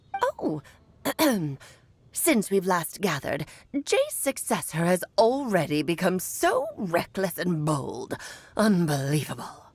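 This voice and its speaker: A put-on character voice moves at a fairly slow pace with long, frequent pauses. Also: woman, medium pitch for a woman. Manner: disdainful, haughty.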